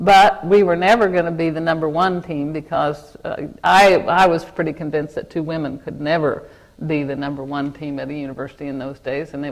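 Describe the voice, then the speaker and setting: A woman's very deep, low voice in an American accent, at a fairly quick pace. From Kansas. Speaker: corporate lawyer. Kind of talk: interview in front of an audience. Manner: halting, with repeated false starts.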